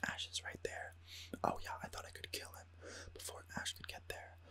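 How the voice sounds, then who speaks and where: The voice is whispering. It moves at a very fast pace. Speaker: gamer ASMR creator. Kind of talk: casual gaming voiceover commentary, whispered ASMR style. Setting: recorded with a studio USB microphone. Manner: whispered, soft-spoken.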